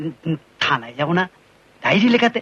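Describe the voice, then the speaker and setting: In a put-on character voice, a man speaks high and raspy, his pitch swinging very widely. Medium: short film. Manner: stammering, servile.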